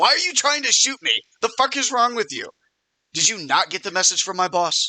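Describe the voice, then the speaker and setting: A man does a put-on character voice, gruff and extremely high-pitched, with very wide pitch swings. He talks fairly quickly in a dry, close recording with no echo. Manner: angry, indignant.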